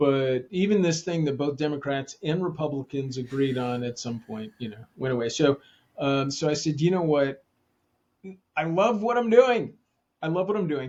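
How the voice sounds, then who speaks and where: With lively intonation and a fairly high pitch, a man speaks at a moderate pace. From New Jersey. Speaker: leadership consultant and author. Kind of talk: podcast interview. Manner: casual, hesitant with fillers.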